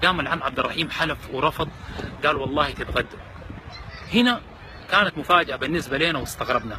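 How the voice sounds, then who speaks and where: A fairly high-pitched man's voice with a Sudanese accent, fairly quick pace and ordinary pitch variation, over noticeable background noise. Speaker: charity volunteer. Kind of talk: storytelling.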